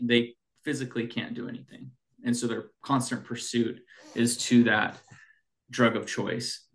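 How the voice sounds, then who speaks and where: A man speaks with a Pacific Northwest accent at a medium pitch. His delivery is fairly slow, monotone and flat. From Washington state, Snohomish County. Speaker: addiction medicine clinician and clinic owner. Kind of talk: interview.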